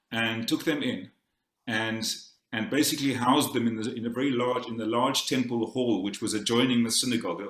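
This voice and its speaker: A medium-pitched man with a South African accent, at a very fast pace, ordinary pitch variation and audible room echo. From South Africa, Cape Town. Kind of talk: conference talk. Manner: halting, many repetitions and fillers.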